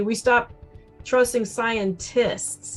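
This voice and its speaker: Music plays in the background. A woman speaks at a fairly high pitch. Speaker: emergency physician. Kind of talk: interview answer.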